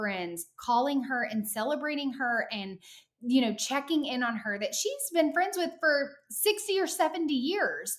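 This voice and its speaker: A woman's high voice with very wide pitch swings, at a fairly slow pace. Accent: American. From Arkansas. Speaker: author. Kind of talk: podcast interview.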